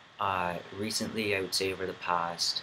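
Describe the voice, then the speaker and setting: A man speaks with a very deep, low voice in a flat monotone. Noticeable background noise runs behind him. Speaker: vlogger. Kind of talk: video diary. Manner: halting, many fillers.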